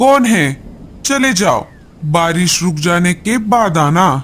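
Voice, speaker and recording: Over clear background noise, a man does a cartoonish character voice, high-pitched and fairly slow. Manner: menacing, greedy.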